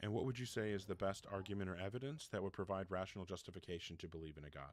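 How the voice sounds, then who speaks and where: Very fast and very deep, a man's low voice carries ordinary pitch variation. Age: 40s. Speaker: debate show host. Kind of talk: live call-in debate. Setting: live stream. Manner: interrupting, insistent.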